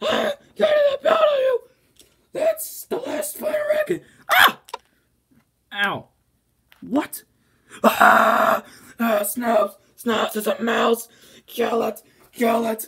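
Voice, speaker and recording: Someone performs a put-on character voice at a very slow pace. Long, frequent pauses break up the speech. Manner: shouting, angry.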